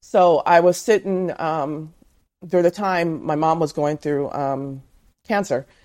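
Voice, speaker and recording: An unremarkable speaking voice from a woman with an American accent, ordinary pitch variation and a very clean recording with a silent background. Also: fairly low pitch for a woman. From Southern California. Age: 50s. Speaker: author and truck driver's wife. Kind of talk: interview.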